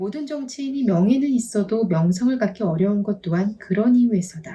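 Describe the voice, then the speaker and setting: The voice has a dark, mellow tone, somewhat breathy, with ordinary pitch variation at a moderate pace. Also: woman. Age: 40s. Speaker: vlogger. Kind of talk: reading aloud.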